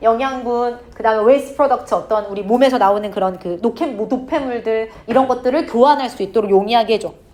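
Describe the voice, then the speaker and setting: Over noticeable background noise and audible room echo, a woman with a high pitch talks at a fairly quick pace with lively intonation. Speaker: English teacher. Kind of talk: lecture. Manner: fast; casual, informal speech to students.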